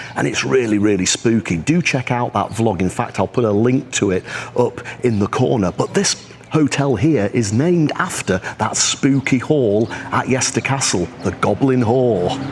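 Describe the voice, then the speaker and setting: Noticeable background noise sits behind a man's voice. His loudness stays very even while his intonation is lively. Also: medium pitch for a man, moderate pace. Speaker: travel vlogger. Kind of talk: travel vlog narration. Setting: outdoors. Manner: animated.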